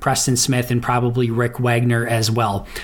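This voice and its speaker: A man speaks at a moderate pace. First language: English (speaking German). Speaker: NFL analyst. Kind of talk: recorded commentary.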